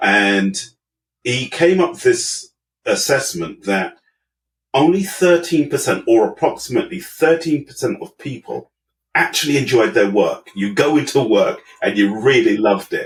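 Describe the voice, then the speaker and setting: Speaking in a London accent, this man keeps an even, middling tempo. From London (Brixton), England. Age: 50s. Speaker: management consultant. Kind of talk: interview.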